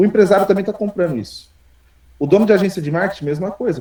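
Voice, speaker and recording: A man's dark, mellow, somewhat breathy voice, very fast, with lively intonation. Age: 30s. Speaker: programmer and entrepreneur teaching an AI workshop. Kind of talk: live online workshop presentation. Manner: casual, energetic with repetitions.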